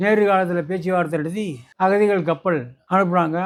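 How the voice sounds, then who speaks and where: The man's pitch is high. His intonation is monotone and flat. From Burma. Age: 80s+. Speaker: war veteran. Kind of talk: interview answer.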